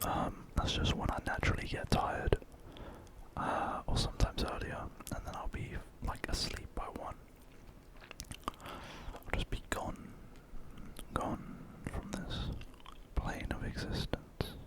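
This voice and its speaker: Whispering at a fairly slow pace, a man leaves long, frequent pauses against noticeable background noise. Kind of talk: ASMR whispered ramble. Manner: whispered, soft-spoken.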